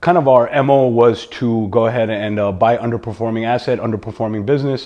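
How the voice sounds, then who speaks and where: Someone with a New York accent talks at a moderate pace with fairly even intonation. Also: man. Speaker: entrepreneur and real estate investor. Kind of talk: podcast interview. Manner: halting, many fillers and repetitions.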